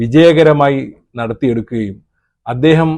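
A man's ordinary speaking voice, fairly high in pitch, with fairly even intonation. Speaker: YouTube news commentator. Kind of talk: video commentary.

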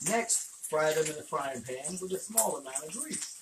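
In a room with audible echo, a man with fairly high pitch speaks at a moderate pace with lively intonation.

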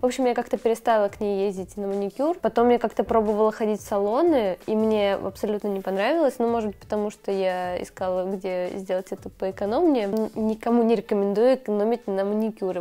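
Fairly quick delivery from a woman, her pitch moving in an ordinary way. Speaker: beauty vlogger. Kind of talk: casual vlog chat. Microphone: lapel.

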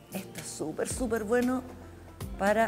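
Clear background music under a woman's fairly slow speech. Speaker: fitness instructor. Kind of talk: tutorial. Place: gym.

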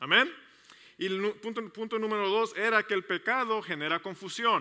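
A man speaks in a raised, projected voice at a fairly quick pace, his tone bright and sharp. The background is quiet. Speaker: pastor. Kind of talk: sermon. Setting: church service with congregation, also streamed online. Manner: fast; halting, many repetitions and fillers. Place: church. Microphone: headset.

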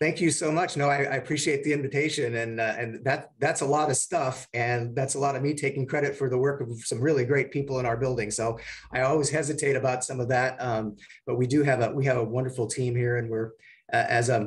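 A man speaks at a very fast pace, somewhat breathy. His intonation is fairly even. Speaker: radio station general manager. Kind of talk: guest talk to an audience. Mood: warm, appreciative. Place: office. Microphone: video call.

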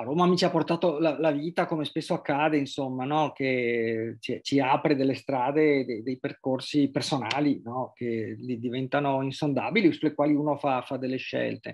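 A man's fairly high voice at a moderate pace, fairly even in intonation, with hardly any pauses and a quiet background. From Venice, Italy; Italy. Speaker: journalist and writer; journalist. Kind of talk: interview. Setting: remote video call. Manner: halting, many repetitions and fillers. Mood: calm, reflective. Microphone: video call.

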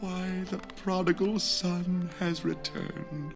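A put-on character voice, female-sounding, at a middle pitch and fairly slow pace over loud music in the background. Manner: feigned warmth, genteel.

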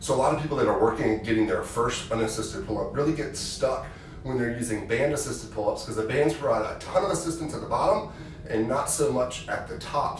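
Words come at a very fast pace amid light background noise and audible room echo. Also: man. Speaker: physical therapist coach. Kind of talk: tutorial. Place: gym. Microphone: camera far.

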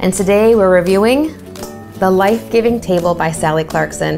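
A woman talks at a moderate pace over clear music in the background. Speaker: presenter. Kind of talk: tutorial. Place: kitchen. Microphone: lapel.

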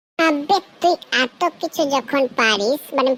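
A woman puts on a high, cartoonish character voice with ordinary pitch variation in a dry, close sound with no echo. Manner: cocky, swearing slang.

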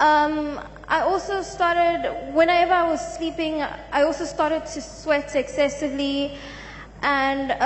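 Light background noise sits behind a woman's high voice, fairly slow and fairly even in intonation. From South Africa. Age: young. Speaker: church congregant giving testimony. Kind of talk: testimony. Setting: church. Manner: halting. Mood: subdued, sombre. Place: church. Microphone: handheld.

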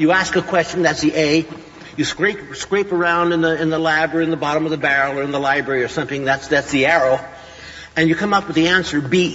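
At a very fast pace, a man delivers his words with fairly even intonation. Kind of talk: lecture. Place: hall.

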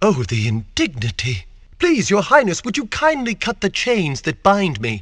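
In a put-on character voice, a man speaks at a fairly slow pace and a high pitch, with very wide pitch swings and a fairly bright tone.

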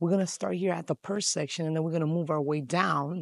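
A woman's fairly low voice with ordinary pitch variation, dry with no echo. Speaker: shopping vlogger. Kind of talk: casual vlog chat. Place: shop. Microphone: phone near.

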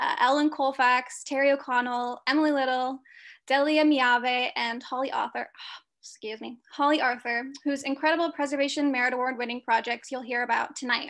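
A monotone voice with flat intonation speaks at a moderate pace against a quiet background. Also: woman, high pitch for a woman. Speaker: nonprofit program planner hosting. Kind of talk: event introduction. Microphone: video call.

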